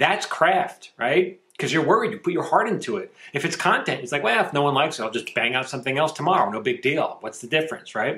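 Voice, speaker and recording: Background noise is noticeable as a man talks at a very fast pace. His pitch is fairly high, with lively intonation. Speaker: screenwriter and writing teacher. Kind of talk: casual monologue to camera.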